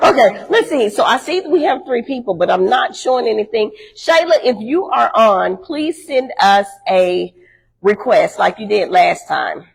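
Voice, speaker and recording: Loud and at a moderate pace, a woman speaks with a high pitch and very wide pitch swings. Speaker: talk show co-host. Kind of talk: live-streamed talk show. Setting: live stream, unusual room setup. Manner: country-sounding speech.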